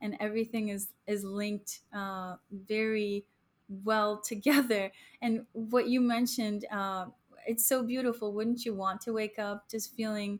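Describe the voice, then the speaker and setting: A woman with a fairly high pitch speaks at a fairly slow pace with monotone, flat intonation. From Chicago, US Midwest (born in Poland, moved at six). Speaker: airline pilot and food business founder. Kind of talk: casual interview.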